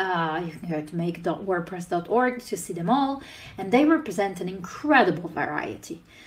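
A woman with a non-native accent speaks in a somewhat breathy voice marked by very wide pitch swings. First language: not English. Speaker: conference speaker. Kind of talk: conference talk. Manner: frequent filler 'uh' hesitations. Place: home room. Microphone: webcam.

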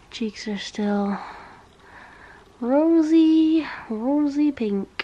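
A woman with a high, nasal voice speaks very slowly in a tired tone, her intonation lively over light background noise. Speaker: vlogger. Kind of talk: casual vlog chat. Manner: tired, nasal sick voice. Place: home room. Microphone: phone near.

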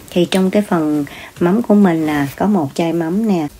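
At a moderate pace, a woman with a fairly low pitch and ordinary pitch variation speaks in a normal speaking voice. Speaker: home cook vlogger. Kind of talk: cooking tutorial chat. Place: kitchen. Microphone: phone near.

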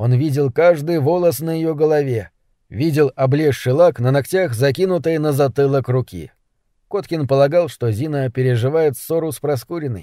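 A man's fairly high-pitched voice with a dark, mellow tone at a moderate pace. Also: ordinary pitch variation. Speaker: audiobook narrator. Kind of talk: literary audiobook reading, third-person narration with quoted dialogue. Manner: even, measured storytelling pace, restrained.

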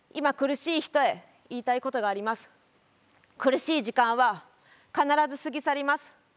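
A woman with a high-pitched voice speaks with long, frequent pauses. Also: ordinary pitch variation, moderate pace, big swings in loudness. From Japan. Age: 30s. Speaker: lawyer and local politician; lawyer, local politician. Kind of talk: speech. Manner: formal. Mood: earnest, encouraging. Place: stage. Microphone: lapel.

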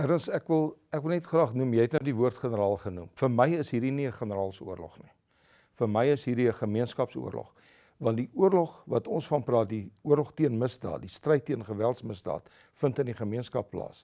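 Against a quiet background, a man's dark, mellow voice sits at a medium pitch with lively intonation. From South Africa. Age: 70s. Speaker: retired army general; interview guest. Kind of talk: interview. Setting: studio. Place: studio. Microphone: lapel.

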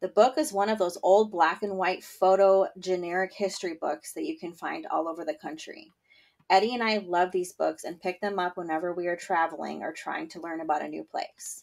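Recorded very cleanly against a silent background, a woman with a medium pitch speaks at a fairly quick pace, her pitch varying in an ordinary way while her loudness swings widely. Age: 30s. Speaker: podcast host. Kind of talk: casual solo podcast monologue. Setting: home bedroom during thunderstorm. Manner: chatty with filler words.

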